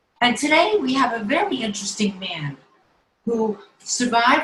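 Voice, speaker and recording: Lively intonation marks this woman's unremarkable speaking voice. She talks at a fairly slow pace. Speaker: interviewer. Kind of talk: program introduction. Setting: video call.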